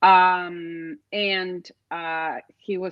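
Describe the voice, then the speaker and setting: With a fairly low pitch, a woman speaks in a dry, close sound with no echo. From Mexico City. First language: Spanish. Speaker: interview guest. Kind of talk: casual interview.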